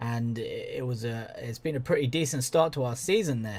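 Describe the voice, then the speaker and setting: A man's medium-pitched, somewhat breathy voice with a southern English accent at a fairly quick pace, on a very clean recording with a silent background. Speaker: video game commentator. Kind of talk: gaming commentary. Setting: home recording with headphones. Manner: monotone.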